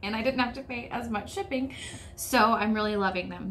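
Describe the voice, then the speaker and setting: With an American accent, a woman speaks at a fairly quick pace and ordinary pitch variation. Audible room echo surrounds her voice. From United States. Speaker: sewing YouTuber. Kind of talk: casual vlog talk.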